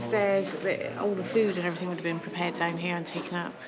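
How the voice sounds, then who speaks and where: A woman talks at a fairly quick pace. Noticeable background noise and audible room echo fill the recording. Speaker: travel vlogger. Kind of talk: casual chat. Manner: soft-spoken.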